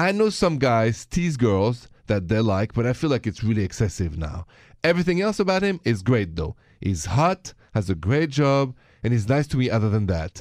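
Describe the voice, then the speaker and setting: With a French accent, a man speaks at a medium pitch and a moderate pace, swinging very widely in pitch, in a very clean recording with a silent background. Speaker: radio host. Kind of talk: casual chat.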